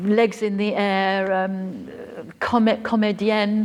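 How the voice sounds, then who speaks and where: Noticeable background noise surrounds a woman speaking with a British accent. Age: 70s. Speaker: writer and professor of creative writing. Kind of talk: conference Q&A.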